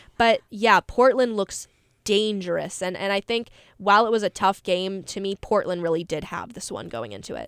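Recorded very cleanly with a silent background and a dry, close sound with no echo, a woman with a plain, everyday voice and an American accent speaks at medium pitch with ordinary pitch variation. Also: moderate pace, big swings in loudness. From North Carolina. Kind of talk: casual chat. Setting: studio.

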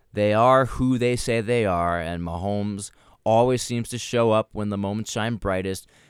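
A man with a plain, everyday voice speaks at a moderate pace with a fairly low pitch and fairly even intonation. The recording is very clean, with a silent background. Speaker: sports podcast host. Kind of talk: casual sports discussion. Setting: studio.

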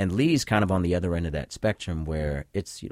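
Speaking at a fairly quick pace, a man with a very deep, low voice uses lively intonation. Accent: American. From Boston. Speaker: sociology professor. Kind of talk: radio interview. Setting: studio.

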